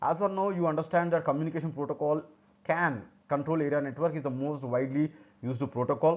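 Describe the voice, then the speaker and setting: With an Indian accent, a man speaks at a very fast pace and a fairly high pitch. His intonation is fairly even over a quiet background. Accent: Indian English (Telugu). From South India, Telugu-speaking state. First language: Telugu. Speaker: technical instructor. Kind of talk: tutorial. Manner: halting.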